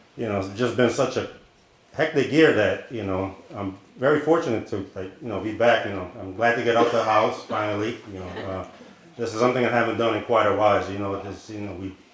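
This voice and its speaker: The man talks at a fairly quick pace in a fairly low pitch, with ordinary pitch variation and big swings in loudness. Noticeable background noise and audible room echo surround him. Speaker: chef. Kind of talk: cooking demonstration.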